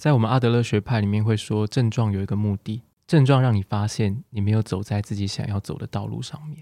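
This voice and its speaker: A fairly quick delivery with hardly any pauses, ordinary pitch variation, and a dark, mellow tone, on a very clean, dry, close recording with no echo and a silent background. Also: man, fairly low pitch for a man. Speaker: psychologist. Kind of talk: casual chat interview. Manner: warm, soothing.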